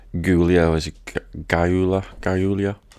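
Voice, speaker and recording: A man with a very deep, low pitch speaks in a monotone, flat intonation on a very clean recording with a silent background. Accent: British. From Britain. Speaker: gaming streamer. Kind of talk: live gameplay commentary.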